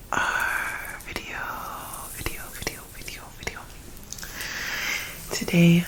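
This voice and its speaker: The words are whispered at a very slow pace. Background noise is noticeable throughout. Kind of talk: ASMR reading and rambling. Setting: close to the microphone. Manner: whispered, soft-spoken.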